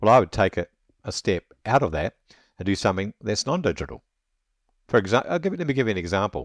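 A very fast, fairly low-pitched man with a New Zealand accent, very wide pitch swings, long and frequent pauses, a dry, close sound with no echo and a quiet background. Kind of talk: interview.

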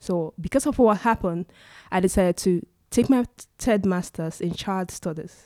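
A woman's medium-pitched voice with a dark, mellow tone, moderate pace, ordinary pitch variation and long, frequent pauses, dry and close with no echo on a very clean recording with a silent background. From Nigeria. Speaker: social media influencer. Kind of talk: casual interview chat.

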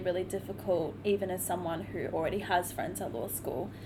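With an Australian accent, a woman talks at a very fast pace. Her medium pitch shows ordinary variation. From Cairns, Queensland, Australia. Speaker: law student, student society president. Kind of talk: casual chat.

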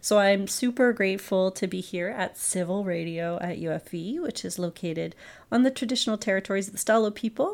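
At a fairly quick pace, a woman talks in an ordinary speaking voice with medium pitch and ordinary pitch variation. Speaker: podcast host and university internationalization specialist. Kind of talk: casual interview. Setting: studio.

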